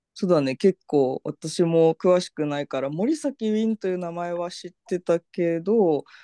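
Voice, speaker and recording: A man speaks at a moderate pace in a high pitch with a dark, mellow tone, the sound dry and close with no echo. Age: 30s. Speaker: podcast host. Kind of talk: casual chat.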